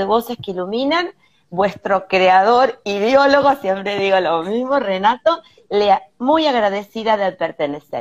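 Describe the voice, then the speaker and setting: Delivered at a fairly slow pace with lively intonation, this is a normal speaking voice. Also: woman. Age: 50s. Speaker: holistic therapist. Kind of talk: live stream panel discussion. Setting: hotel room, video call.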